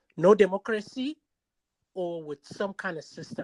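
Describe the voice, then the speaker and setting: A woman talks at a moderate pace in a dry, close recording with no echo, very clean and with a silent background. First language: not English. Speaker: podcast host. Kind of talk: interview.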